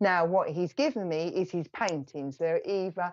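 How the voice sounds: A woman's fairly low, slightly mellow voice at a moderate pace, with ordinary pitch variation.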